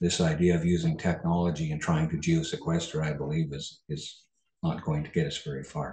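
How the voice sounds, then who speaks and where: With a Canadian accent, a man speaks at a fairly quick pace in a very deep, low pitch, his dark, mellow tone somewhat breathy and his intonation monotone and flat. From Canada. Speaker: farmer and soil consultant. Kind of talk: webinar presentation.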